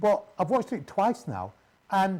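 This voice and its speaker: A man speaks in a Mancunian accent. His pace is fairly quick. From Manchester, northern England. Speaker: radio host. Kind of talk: interview. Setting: live TV broadcast. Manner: halting, many fillers.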